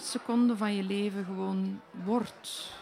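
Over crowd noise in the background, a woman speaks at a very slow pace. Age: 50s. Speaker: poet and novelist. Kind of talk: interview conversation; reading poetry aloud. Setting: live in a festival foyer.

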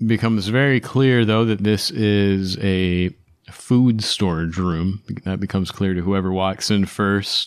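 An unremarkable speaking voice with fairly even intonation moves at a fairly slow pace. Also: man, fairly low pitch for a man, very clean recording, silent background. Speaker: dungeon master. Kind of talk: casual chat.

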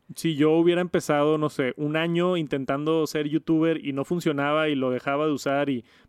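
A man uses a normal speaking voice at a fairly high pitch. He keeps a moderate pace with fairly even intonation. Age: 30s. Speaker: tech podcast host and youtuber. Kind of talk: casual chat.

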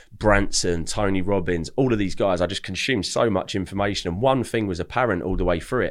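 On a very clean recording with a silent background, a man speaks at a very fast pace in a fairly low pitch. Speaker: digital marketing entrepreneur. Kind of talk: casual chat.

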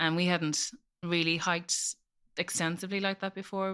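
With an Irish accent, a bright, sharp voice speaks at a moderate pace in a monotone, flat intonation, on a very clean recording with a silent background. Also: woman. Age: 40s. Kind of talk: personal testimony in interview.

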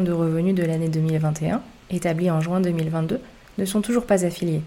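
Her pitch is fairly low for a woman. The tone comes across dark and mellow. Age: 30s. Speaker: tax and real estate podcaster, former accountant. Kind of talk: scripted narration.

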